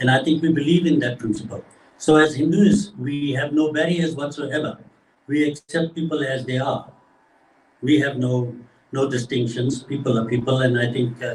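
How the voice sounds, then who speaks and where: Somewhat breathy, a man speaks at a fairly high pitch and a moderate pace with ordinary pitch variation. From Zimbabwe. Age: 80s+. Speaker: devotional singer. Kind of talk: interview.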